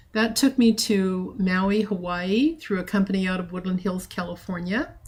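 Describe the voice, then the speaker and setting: A woman with a medium-pitched, somewhat breathy voice speaks at a moderate pace with ordinary pitch variation. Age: 60s. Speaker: trading group organizer. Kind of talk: personal introduction talk. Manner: hesitant, with frequent fillers.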